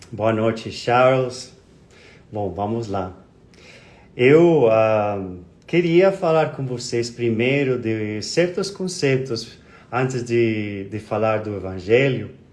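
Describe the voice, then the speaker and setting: A man with a Spanish accent speaks at a very slow pace, leaving long, frequent pauses. His pitch is medium and his intonation lively, with audible room echo. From Colombia. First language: Spanish (speaking Portuguese). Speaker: spiritist speaker. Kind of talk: lecture. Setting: live stream. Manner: halting.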